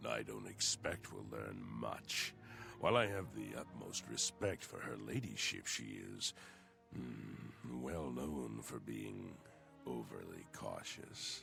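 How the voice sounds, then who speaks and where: A man performs a put-on character voice. Clear background noise can be heard behind him. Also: fairly slow pace. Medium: game stream. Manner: smooth, insinuating, relishing.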